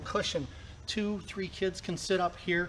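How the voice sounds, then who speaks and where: A man's high-pitched voice over light background noise. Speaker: boat salesman. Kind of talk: product walkthrough explanation. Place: shop. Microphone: camera far.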